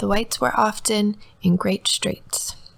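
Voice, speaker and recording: A woman speaks softly. Her pace is moderate. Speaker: ASMR reader. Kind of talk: ASMR audiobook reading. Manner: soft-spoken, sleepy, relaxing.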